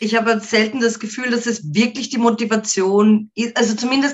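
A woman has an unremarkable speaking voice with a fairly high pitch. She talks at a moderate pace with ordinary pitch variation. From Austria, market town. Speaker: rock musician. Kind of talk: interview.

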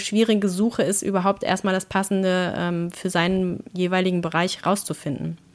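A woman has an ordinary speaking voice at a medium pitch, with fairly even intonation. She talks at a moderate pace on a very clean recording with a silent background. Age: 40s. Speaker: blogger and employed mother. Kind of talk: interview.

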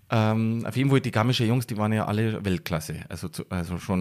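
A man speaks at a medium pitch with a dark, mellow tone and lively intonation. The recording is very clean, with a silent background. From Bavarian Forest near Passau, Bavaria. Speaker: action sports photographer. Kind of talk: casual interview.

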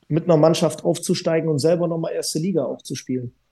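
The voice has a dark, mellow tone and ordinary pitch variation, moving at a very fast pace. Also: man. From southern Germany, Swabia (Ehingen an der Donau). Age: 30s. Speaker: retired handball player. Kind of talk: casual interview.

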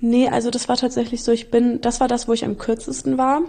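Fairly high-pitched and dark, mellow in tone, a woman speaks at a fairly quick pace. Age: 20s. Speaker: traveller and volunteer. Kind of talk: casual chat.

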